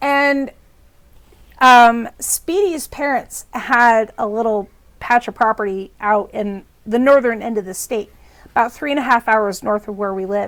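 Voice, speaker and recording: In a very clean recording with a silent background, a woman with an American accent speaks at a fairly slow pace, her fairly high pitch showing ordinary variation. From US Midwest. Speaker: storytelling vlogger. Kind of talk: casual storytelling. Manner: hesitant, many filler words.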